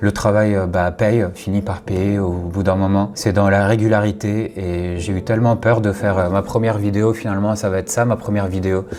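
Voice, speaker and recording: A man with a fairly low pitch speaks at a moderate pace with hardly any pauses. His intonation is monotone and flat, and noticeable background noise can be heard. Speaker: content creator. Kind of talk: personal vlog monologue. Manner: hesitant, many fillers.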